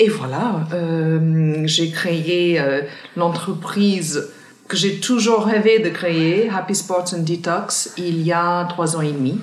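This woman's voice sits fairly low and moves at a very slow pace. There is noticeable background noise. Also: ordinary pitch variation. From Ireland, countryside near Cork. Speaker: entrepreneur, founder of sport and wellness retreats. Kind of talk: interview conversation. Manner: hesitant, many repetitions and fillers.

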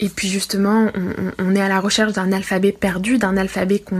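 In a plain, everyday voice, a woman of medium pitch speaks with fairly even intonation. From France. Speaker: literature teacher and researcher. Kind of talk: recorded commentary.

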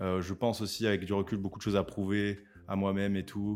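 A man speaks with a fairly low pitch. The pace is moderate. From southern France. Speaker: YouTuber, rap analyst. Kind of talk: casual interview chat. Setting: studio. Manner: halting, many repetitions.

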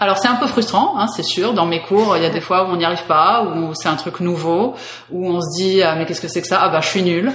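A woman speaks at a fairly quick pace in a fairly low pitch, with ordinary pitch variation. Noticeable background noise and audible room echo are present. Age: 30s. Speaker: movement teacher. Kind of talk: interview testimony.

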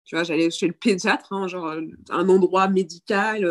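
A woman's voice comes through in a dry, close sound with no echo. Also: very clean recording, silent background. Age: 30s. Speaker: breastfeeding content creator. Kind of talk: casual chat. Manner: halting.

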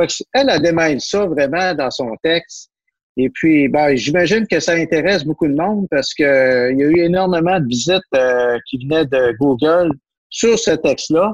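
This man, with a Quebec accent, keeps a very even loudness and ordinary pitch variation in a dry, close recording with no echo. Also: fairly high pitch for a man, fairly slow pace. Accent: Québécois French. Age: 50s. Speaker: business journalist. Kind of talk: casual chat.

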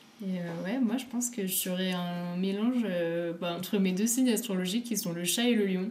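Noticeable background noise runs under a woman's medium-pitched voice. She speaks at a moderate pace with hardly any pauses and ordinary pitch variation. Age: 20s. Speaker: climate activist and PhD student. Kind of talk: casual interview conversation.

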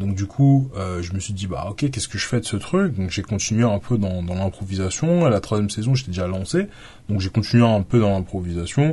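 A man with a fairly low pitch speaks at a moderate pace, his tone dark and mellow. His voice is somewhat breathy, with ordinary pitch variation. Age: 20s. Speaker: podcast host. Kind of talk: solo podcast monologue. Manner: halting, many fillers.

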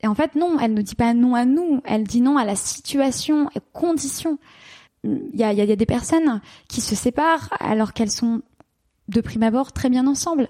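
Her voice high-pitched with a dark, mellow tone, a woman speaks with ordinary pitch variation in a dry, close sound with no echo. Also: moderate pace. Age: 30s. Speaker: couples therapist and sex therapist. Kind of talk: interview.

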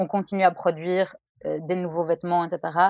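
A woman's fairly low voice comes through at a moderate pace. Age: 30s. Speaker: lawyer, listener guest. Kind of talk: casual chat.

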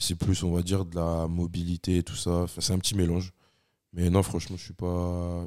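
On a very clean recording with a silent background, a man with a very deep, low pitch talks at a moderate pace in a monotone, flat delivery. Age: 20s. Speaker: strength athlete, student coach. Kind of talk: casual chat.

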